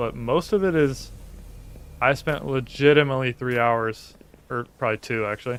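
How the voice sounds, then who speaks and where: Soft-spoken and at a moderate pace, a man talks at a medium pitch with ordinary pitch variation. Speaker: gaming streamer. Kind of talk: live gameplay commentary. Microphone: viewer says stream audio is quiet.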